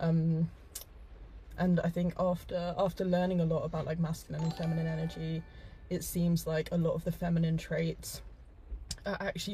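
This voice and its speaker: Music plays in the background as a woman speaks at a moderate pace. Her pitch is fairly low and her intonation is monotone and flat. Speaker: host's girlfriend. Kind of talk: casual chat on live stream.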